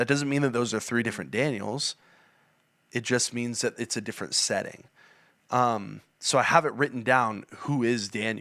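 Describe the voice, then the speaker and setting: A loud man's voice, bright and sharp in tone, with fairly even intonation, in a very clean recording with a silent background. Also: medium pitch for a man, moderate pace. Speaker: youth and young adult church leader. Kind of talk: podcast interview.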